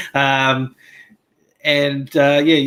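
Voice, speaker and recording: A man with an Australian accent and a fairly high pitch. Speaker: YouTuber, guest panelist. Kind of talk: casual discussion. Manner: halting, many fillers.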